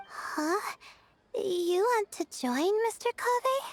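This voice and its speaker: Very slowly, a put-on character voice swings through very wide pitch changes in a dry, close sound with no echo. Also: woman, extremely high pitch for a woman. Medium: video game. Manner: nervous, stammering.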